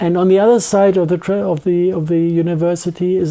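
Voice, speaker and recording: Speaking at a fairly quick pace, a man with a high voice and a dark, mellow tone talks with a strong German accent. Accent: thick German. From Germany. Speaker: scientist giving lecture/interview. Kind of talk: interview. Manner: halting, with false starts.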